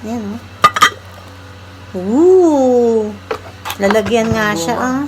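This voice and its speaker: Noticeable background noise runs under a woman's voice. She speaks at a fairly high pitch with very wide pitch swings. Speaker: vlogger, cook. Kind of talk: casual vlog chat.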